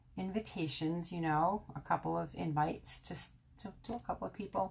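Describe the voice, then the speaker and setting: With an American accent, a woman talks in an animated tone. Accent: Brooklyn accent, stronger when tired. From Brooklyn, New York. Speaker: craft demonstrator. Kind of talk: live stream craft tutorial. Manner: chatty, animated.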